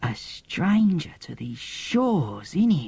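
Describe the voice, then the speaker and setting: A man's put-on character voice, high pitch with very wide pitch swings at a fairly slow pace. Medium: read story. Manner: gushing, melodramatic, calls listener "beloved".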